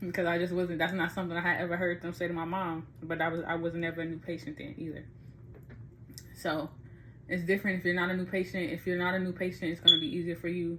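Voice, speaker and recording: Very fast and monotone, a woman speaks with flat intonation. Her tone is bright and sharp. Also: fairly low pitch for a woman. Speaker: vlogger giving advice. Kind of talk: tutorial. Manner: casual, halting.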